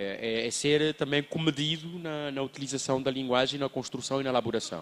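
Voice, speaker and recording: This man speaks at a fairly quick pace. His pitch sits in the medium range, with ordinary variation. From Mozambique. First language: a Mozambican Bantu language (speaking Portuguese). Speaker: children's book writer. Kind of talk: panel talk at book fair. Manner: halting, many repetitions.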